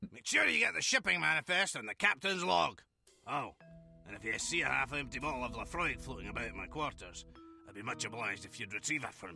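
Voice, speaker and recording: A man's gruff, put-on character voice, fairly high in pitch and very fast, with very wide pitch swings, big swings in loudness, and faint music in the background. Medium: video game. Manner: gruff, crude, combative.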